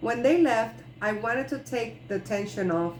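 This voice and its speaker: Over audible room echo, a woman talks at a fairly slow pace in a Spanish accent, her fairly high voice making very wide pitch swings. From Puerto Rico. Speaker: clown and author reading her ebook. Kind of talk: reading aloud.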